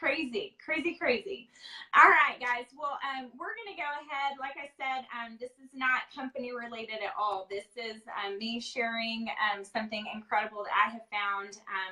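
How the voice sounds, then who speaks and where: A woman talks with a high pitch and a bright, sharp tone. Her intonation is lively, and her loudness swings a lot. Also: moderate pace. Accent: Texas. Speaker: live interview host. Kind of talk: casual live-stream interview. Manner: many filler ums.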